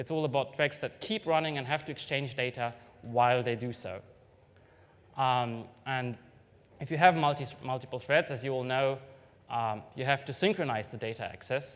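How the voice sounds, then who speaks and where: A man with a non-native accent and a fairly high pitch for a man. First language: not English. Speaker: software developer giving a conference talk. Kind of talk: technical conference talk. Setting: stage with audience. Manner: hesitant, many fillers.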